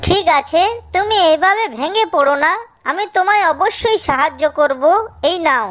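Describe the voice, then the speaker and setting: A cartoonish character voice, high in pitch, delivers its lines at a moderate pace. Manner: gentle, kindly.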